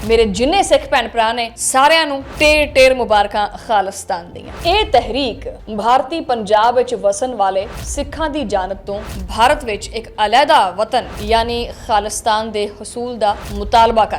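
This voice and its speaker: Over music in the background, a woman with a fairly high pitch speaks with ordinary pitch variation and hardly any pauses. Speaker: news anchor and vlogger. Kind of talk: vlog commentary.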